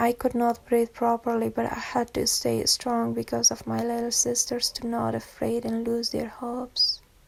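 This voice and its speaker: A woman at a moderate pace, against noticeable background noise. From Afghanistan. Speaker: NGO worker. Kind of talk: personal testimony.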